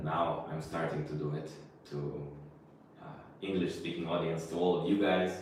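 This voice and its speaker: With long, frequent pauses and monotone, flat intonation, a man in a Russian accent speaks amid audible room echo. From Israel. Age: 20s. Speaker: spiritual teacher. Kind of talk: live stream Q&A. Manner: casual, conversational.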